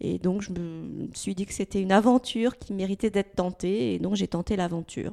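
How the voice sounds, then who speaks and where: A woman's dark, mellow voice at medium pitch, with ordinary pitch variation, a moderate pace and hardly any pauses, in a dry, close sound with no echo. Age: 60s. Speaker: former HR director turned entrepreneur. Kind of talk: interview.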